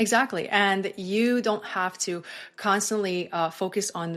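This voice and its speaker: Medium pitch from a woman with a non-native accent and ordinary pitch variation, on a very clean recording with a silent background. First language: not English. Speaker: UGC creator, former teacher. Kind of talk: podcast interview.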